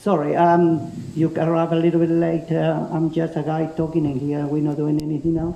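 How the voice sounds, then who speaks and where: A man's fairly high voice with a strong Spanish accent, fairly even intonation and a moderate pace, over noticeable background noise. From Spain. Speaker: self-defence instructor, ex special forces paratrooper. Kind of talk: seminar talk to a class.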